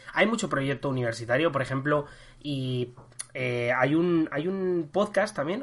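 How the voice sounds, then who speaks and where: A man talks at a moderate pace, his fairly high pitch showing ordinary variation. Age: 20s. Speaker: history podcast host. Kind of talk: casual chat. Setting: recording from home. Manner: halting.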